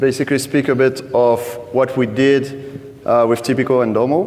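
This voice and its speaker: A man talks at a moderate pace with a medium pitch. Audible room echo and noticeable background noise surround his voice. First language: French. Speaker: data team lead at a betting company. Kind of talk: conference talk. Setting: stage with audience.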